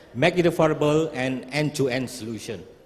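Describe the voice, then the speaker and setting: A man at a fairly quick pace, ordinary pitch variation, and noticeable background noise behind him. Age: 60s. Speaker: startup founder. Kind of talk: pitch presentation.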